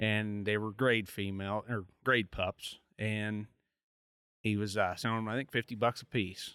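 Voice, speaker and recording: A man with an American accent speaks at a fairly low pitch and a moderate pace, his tone bright and sharp. The recording is very clean and dry, close with no echo and a silent background. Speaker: coonhound competitor and show exhibitor. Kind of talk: casual interview. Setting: outdoor event.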